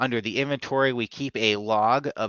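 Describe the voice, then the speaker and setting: With ordinary pitch variation, a man talks at a medium pitch. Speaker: software company presenter. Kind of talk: live product update webinar. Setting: live stream. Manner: fast; casual with many fillers.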